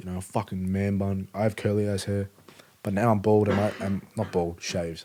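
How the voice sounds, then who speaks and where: A man talks at a fairly quick pace with a fairly low pitch. His intonation stays monotone and flat. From Melbourne, Australia. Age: 20s. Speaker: rapper. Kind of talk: casual chat. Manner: casual, lots of filler words.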